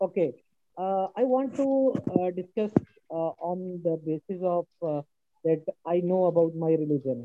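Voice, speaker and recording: The speaker talks quietly at a fairly slow pace. Long pauses come often. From Pakistan. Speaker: panel guest. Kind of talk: video call discussion. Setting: video call. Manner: quiet, microphone issue.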